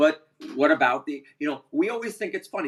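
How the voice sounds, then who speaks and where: In an animated tone, a man speaks at a moderate pace. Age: 60s. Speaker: baseball podcast host. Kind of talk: casual chat.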